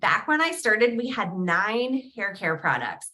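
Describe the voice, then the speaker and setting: With a New Jersey accent, a woman speaks at a moderate pace in an animated, bright, sharp tone. Her fairly high pitch moves in very wide swings. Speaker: direct sales recruiter. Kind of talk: sales pitch. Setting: video call livestream.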